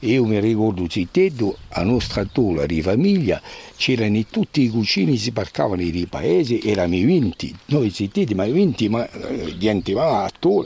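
Here a man talks at a moderate pace in a dark, mellow tone. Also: fairly low pitch for a man, lively intonation. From Corsica, Ucciani. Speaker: local elder and village historian. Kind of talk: interview. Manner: halting.

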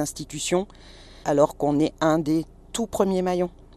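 A woman's very deep, low voice carries a dark, mellow tone. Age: 50s. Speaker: home nurse. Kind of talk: on-location interview. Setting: in a car. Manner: animated.

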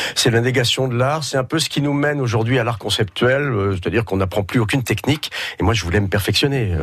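A man speaks at medium pitch in an unremarkable speaking voice. His intonation is lively and his pace fairly quick. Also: very even loudness. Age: 50s. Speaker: painter. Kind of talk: radio interview.

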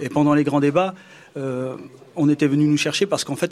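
This man's voice sits fairly high, moving at a moderate speed with intonation that stays fairly even. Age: 40s. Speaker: youth association leader. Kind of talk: interview. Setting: outdoor live event with audience. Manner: halting.

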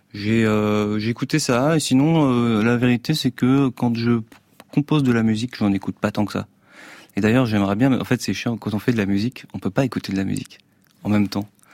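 The sound is dry and close with no echo as a man of medium pitch talks fairly quickly with ordinary pitch variation. He leaves long, frequent pauses. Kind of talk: casual interview. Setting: radio studio.

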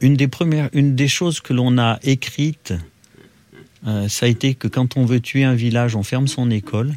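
A man talks at a moderate pace and a medium pitch, with fairly even intonation. Music plays in the background. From Loire, France (Roche-la-Molière). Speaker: former arms factory worker and trade unionist. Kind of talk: interview testimony. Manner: halting, with repetitions.

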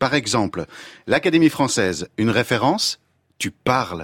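Recorded dry and close with no echo against a silent background, a man's medium-pitched voice makes very wide pitch swings. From Belgium. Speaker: former French teacher, language columnist. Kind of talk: scripted radio column.

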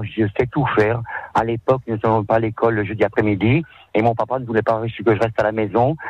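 A man talks at a fairly quick pace, his pitch medium. His intonation is monotone and flat. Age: 50s. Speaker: cleaner. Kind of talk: radio interview. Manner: halting.

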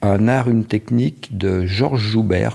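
A man with a plain, everyday voice speaks in a fairly low pitch with ordinary pitch variation. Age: 60s. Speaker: ski patroller. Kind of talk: interview testimony.

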